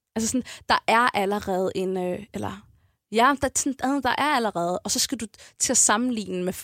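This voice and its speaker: In a very clean recording with a silent background and a dry, close sound with no echo, a woman uses an ordinary speaking voice at a fairly high pitch with ordinary pitch variation. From Copenhagen, Amager. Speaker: rapper. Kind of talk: casual interview.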